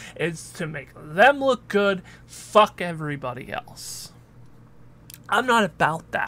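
With a bright, sharp tone and high pitch, a man talks at a fairly slow pace with lively intonation in a very clean recording with a silent background. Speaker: wrestling commentator. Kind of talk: wrestling promo, direct address to fans. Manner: earnest, defiant, emphatic; confident, conversational, some hesitations.

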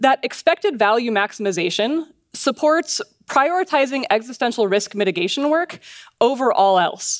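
Against a quiet background, a woman speaks at a moderate pace in a high pitch with very wide pitch swings. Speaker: conference speaker. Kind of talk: lecture. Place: stage. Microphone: headset.

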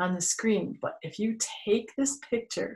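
The background is quiet as a woman talks in a somewhat breathy voice. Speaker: museum storyteller educator. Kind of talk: children's storytime explanation. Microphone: webcam.

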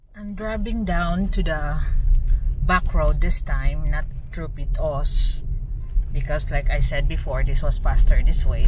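Loud background noise accompanies a woman talking fairly slowly, her voice a dry sound with no echo. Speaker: driver vlogger. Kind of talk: casual vlog chat. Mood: mildly frustrated. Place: car. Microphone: camera far.

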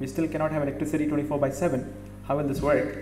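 A man speaks at a fairly quick pace in a fairly high pitch, with audible room echo around him.

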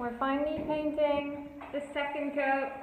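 There is light background noise. Some room echo can be heard. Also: woman. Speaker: home renovation vlogger. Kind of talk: casual vlog talk. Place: empty room. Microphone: phone near.

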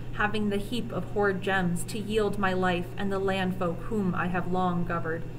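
Noticeable background noise sits behind a woman speaking at a moderate pace. Her pitch is medium with ordinary variation. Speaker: teacher reading aloud. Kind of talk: reading aloud archaic epic poetry, audiobook-style with teacher asides. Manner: measured, formal, slightly halting with self-corrections on archaic words; explanatory, casual in asides. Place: classroom. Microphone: webcam.

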